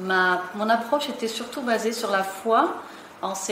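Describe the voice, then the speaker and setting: A woman at a very slow pace, with audible room echo and noticeable background noise. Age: 60s. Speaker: seminar participant. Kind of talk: testimony. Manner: halting.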